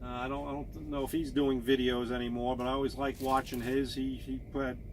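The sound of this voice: A man talks at a fairly quick pace. His pitch sits in the medium range and moves very little.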